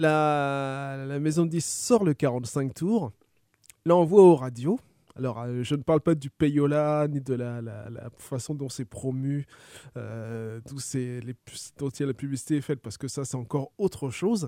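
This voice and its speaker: The sound is dry and close with no echo as a man with a fairly high pitch and a dark, mellow tone speaks at a moderate pace, with ordinary pitch variation and big swings in loudness. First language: French. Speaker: radio host. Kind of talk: radio music show presenting. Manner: hesitant with filler words.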